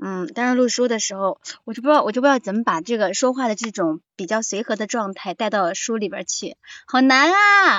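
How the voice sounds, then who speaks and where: A woman speaks at a fairly quick pace. Her fairly high voice has lively intonation. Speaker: audiobook narrator. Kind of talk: casual chat. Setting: livestream mic link.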